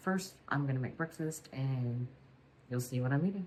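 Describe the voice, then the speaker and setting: The voice is quiet and somewhat breathy. It moves at a fairly quick pace with ordinary pitch variation. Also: woman. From Louisiana. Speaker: weight loss vlogger. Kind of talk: casual vlog talk. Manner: quiet, hushed; hesitant with fillers.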